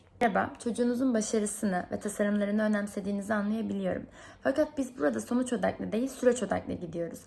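Speaking very fast, a woman has a somewhat breathy voice at medium pitch with ordinary pitch variation. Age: 20s. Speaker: product designer applying for instructor job. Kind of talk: video application monologue; role-play reply to a parent.

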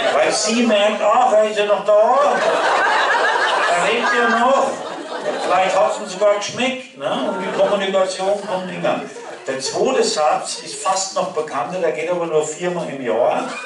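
In a Franconian accent, a man speaks at a fairly slow pace with long, frequent pauses. Audible room echo and noticeable background noise fill the recording. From Lower Franconia. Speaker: cabaret performer. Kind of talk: dialect cabaret performance. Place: hall.

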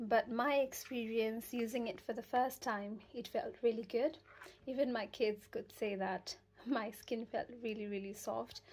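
Her intonation stays fairly even. The woman speaks at a fairly slow pace. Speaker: product reviewer. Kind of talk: casual product review chat. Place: home room. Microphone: phone near.

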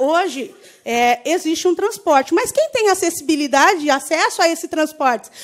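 This woman's pitch is extremely high, and her intonation is lively. She keeps a moderate pace over a quiet background. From Brazil, Osasco (São Paulo area); Brazil. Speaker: union representative; council speaker. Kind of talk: public speech. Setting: city council chamber with audience. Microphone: podium.

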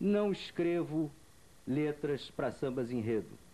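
A man's dark, mellow tone at a very slow pace, with lively intonation. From Rio de Janeiro state, Brazil. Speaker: journalist interviewer. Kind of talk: interview. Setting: at guest's home. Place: home room. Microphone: handheld.

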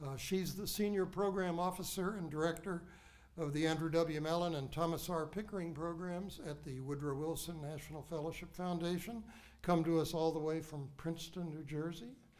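His voice is high for a man, with fairly even intonation. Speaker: speaker. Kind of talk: formal speaker introduction. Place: hall. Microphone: podium.

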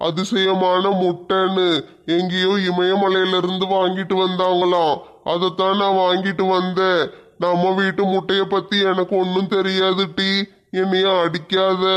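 A put-on character voice delivers its lines at a fairly slow pace in monotone, flat intonation, its loudness very even. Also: man, high pitch for a man. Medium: comedy sketch. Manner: whining, wheedling.

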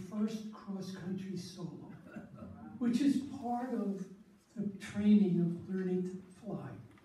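There is audible room echo around a man with a high pitch. He talks fairly slowly, with ordinary pitch variation. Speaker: storyteller. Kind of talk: storytelling talk to an audience. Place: hall. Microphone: camera far.

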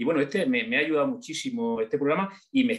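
A man at a very fast pace with very wide pitch swings, against a quiet background. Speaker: audience member. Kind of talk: casual spoken thanks and remarks. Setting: video call. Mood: warm, emotional, grateful. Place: home room. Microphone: video call.

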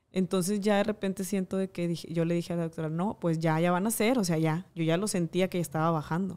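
Speaking very fast, a woman uses a fairly low pitch and a dark, mellow tone, her intonation fairly even. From Monterrey, Mexico. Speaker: TV presenter and makeup artist. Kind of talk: casual interview.

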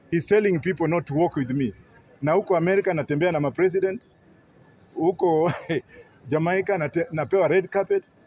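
Light background noise behind a man at high pitch, with ordinary pitch variation and a moderate pace. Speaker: interviewee, political commentator. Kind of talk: press interview answer. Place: hall. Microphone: handheld.

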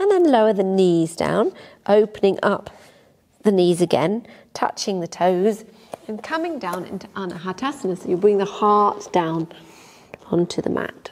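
A woman with an English accent talks at a moderate pace and a medium pitch, with ordinary pitch variation. She takes long, frequent pauses over light background noise. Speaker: yoga teacher. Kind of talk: guided yoga class instruction. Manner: calm, gentle. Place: home room.

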